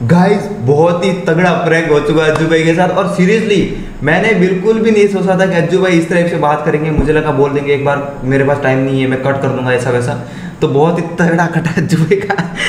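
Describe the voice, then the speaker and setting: With audible room echo and light background noise, a man talks at a moderate pace in a high voice with ordinary pitch variation. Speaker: gaming youtuber. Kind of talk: casual vlog chat. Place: home room.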